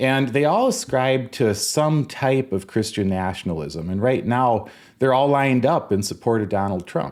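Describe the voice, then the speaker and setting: A man speaks at a moderate pace and medium pitch, with lively intonation and very even loudness. The recording is very clean, with a silent background. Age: 60s. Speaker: political and religious commentator. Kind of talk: video commentary. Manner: conversational, slightly halting.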